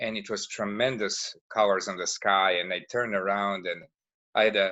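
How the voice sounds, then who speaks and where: A man is speaking. His pace is moderate. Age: 50s. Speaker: martial arts instructor. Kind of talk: casual interview. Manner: halting.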